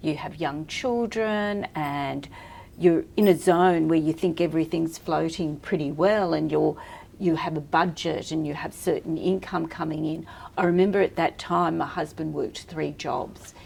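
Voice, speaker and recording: She has an Australian accent, a fairly low pitch and vocal fry. The woman speaks at a moderate pace with fairly even intonation. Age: 60s. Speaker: entrepreneur and personal stylist. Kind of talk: podcast interview.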